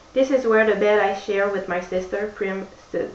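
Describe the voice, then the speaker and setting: A woman at medium pitch, very slow pace and fairly even intonation, with noticeable background noise. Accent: French. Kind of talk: book reading.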